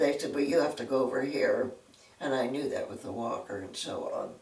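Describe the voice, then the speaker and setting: In an American accent, a woman speaks with audible room echo. Noticeable background noise is present too. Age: 90s. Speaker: retired secretary. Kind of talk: interview storytelling.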